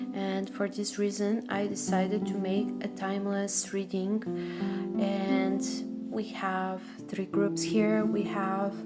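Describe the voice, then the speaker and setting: Music sounds in the background. A woman talks at a very slow pace. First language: not English. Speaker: tarot card reader. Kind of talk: ASMR tarot card reading. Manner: soft-spoken, whispered.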